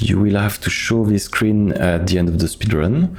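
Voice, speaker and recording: A man's fairly low-pitched voice with ordinary pitch variation, audible room echo and noticeable background noise. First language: French. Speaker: video game speedrunner. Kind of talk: tutorial. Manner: halting.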